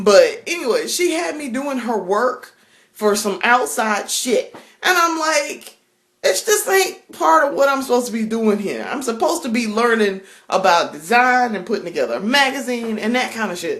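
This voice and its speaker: A woman with a strong Southern US accent speaks at a high pitch in an animated tone. Her pitch swings very widely, and audible room echo surrounds her voice. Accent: strong Southern drawl. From South Carolina. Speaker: vlogger. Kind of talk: casual vlog monologue. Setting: home kitchen.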